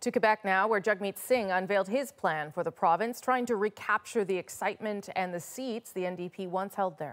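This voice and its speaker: A woman talks at a moderate pace with hardly any pauses. Her pitch variation is ordinary. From Canada. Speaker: news anchor. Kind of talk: news reading. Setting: studio. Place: studio. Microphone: lapel.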